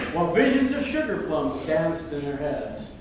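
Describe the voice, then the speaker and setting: Lively intonation at a moderate pace, with noticeable background noise. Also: man. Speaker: amateur performer. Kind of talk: poetry reading. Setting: live show. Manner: animated.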